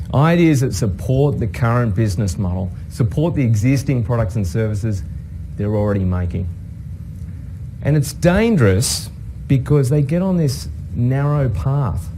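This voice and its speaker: With an Australian accent, a man of medium pitch talks at a moderate pace, his pitch swinging very widely between long, frequent pauses, amid noticeable background noise and audible room echo. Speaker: innovation professor and consultant. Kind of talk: talk to an audience.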